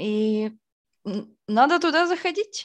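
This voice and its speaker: A woman's voice with very wide pitch swings over a quiet background. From Izhevsk, Udmurtia, Russia. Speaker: music label founder and festival organizer. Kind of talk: casual interview.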